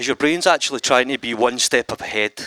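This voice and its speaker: A man with a Scottish accent speaks at a moderate pace and a medium pitch in an animated tone, with a dry, close sound and no echo. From Scotland. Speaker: animator and visual artist. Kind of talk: conference talk. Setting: stage with audience.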